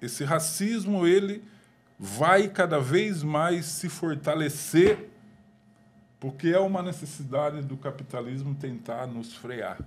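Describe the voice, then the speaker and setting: A man at a very slow pace, with lively intonation and big swings in loudness. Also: fairly high pitch for a man. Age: 60s. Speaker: government official. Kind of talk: panel discussion. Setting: podcast.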